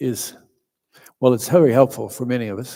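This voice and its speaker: Soft-spoken and dark, mellow in tone, a man talks at a fairly quick pace with fairly even intonation. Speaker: meditation teacher. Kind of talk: dharma talk. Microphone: quiet, volume turned up.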